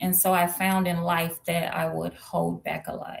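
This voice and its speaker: A woman speaks with an American accent and a somewhat breathy voice. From US Midwest, St. Louis, Missouri. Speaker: identity coach. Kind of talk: interview.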